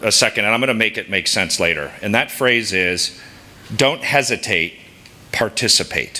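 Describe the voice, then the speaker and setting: A man at a medium pitch speaks in an animated tone at a moderate pace. Noticeable background noise sits behind him. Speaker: sales executive and scout leader. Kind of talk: speech to an audience. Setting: stage with audience. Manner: loud.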